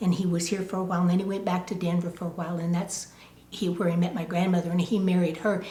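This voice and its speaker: Monotone, flat intonation in an American accent, with noticeable background noise. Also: woman. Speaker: oral history interviewee. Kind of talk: oral history interview.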